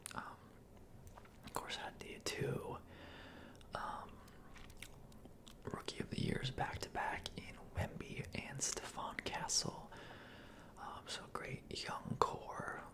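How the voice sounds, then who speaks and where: A man whispers at a very slow pace in a relaxed tone, with long, frequent pauses. Noticeable background noise sits behind him. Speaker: ASMR content creator. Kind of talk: ASMR sports recap, whispered. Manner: whispered, relaxed, casual, with filler words.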